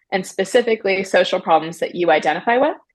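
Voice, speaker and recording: A woman with a normal speaking voice, medium pitch, lively intonation and a fairly quick pace. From US, Maryland. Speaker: app founder and CEO. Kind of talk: interview.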